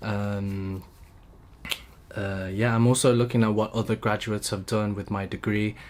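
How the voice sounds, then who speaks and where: A man in a London accent, fairly low in pitch, at a fairly slow pace with fairly even intonation. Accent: British English (London). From UK. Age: 20s. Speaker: YouTuber, recent engineering graduate. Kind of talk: vlog monologue. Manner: halting, stuttering; casual, free-flowing.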